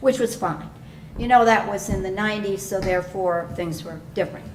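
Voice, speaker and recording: A woman's voice comes with noticeable background noise and audible room echo. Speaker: resident speaking at public comment. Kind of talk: public comment at town council meeting.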